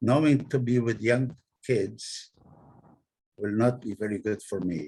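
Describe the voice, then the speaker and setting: A man's somewhat breathy voice sits at medium pitch with ordinary pitch variation. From Poland, Krakow. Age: 90s. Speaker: Holocaust survivor. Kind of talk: testimony. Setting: video call.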